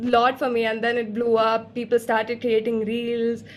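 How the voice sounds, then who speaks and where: A woman talks at a moderate pace in a fairly high pitch. Noticeable background noise can be heard. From Kerala, India. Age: young. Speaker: singer-songwriter. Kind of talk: interview answer. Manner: casual, chatty.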